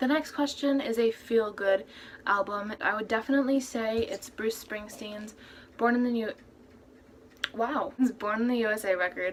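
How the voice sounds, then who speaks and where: A woman's fairly high voice with long, frequent pauses and noticeable background noise. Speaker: youtuber and cover singer. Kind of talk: casual vlog. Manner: fast; monotone.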